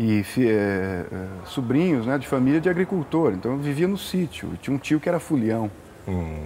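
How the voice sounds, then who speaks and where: There is light background noise as a man talks at a moderate pace. His pitch swings very widely. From interior of São Paulo state, Brazil. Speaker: musician. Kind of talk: casual interview. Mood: relaxed, conversational.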